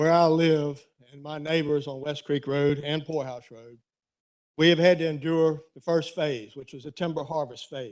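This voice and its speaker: A man with an ordinary speaking voice talks at a moderate pace in a fairly high pitch, with fairly even intonation. His loudness swings widely, and the background is quiet. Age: 60s. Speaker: resident speaking at public comment. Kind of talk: public comment at county board meeting. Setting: county board meeting room.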